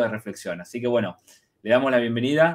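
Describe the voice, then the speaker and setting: This is a man speaking. His pitch varies in an ordinary way. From Argentina. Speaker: university researcher and interview co-host; interview co-host. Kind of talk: interview. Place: home room. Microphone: video call.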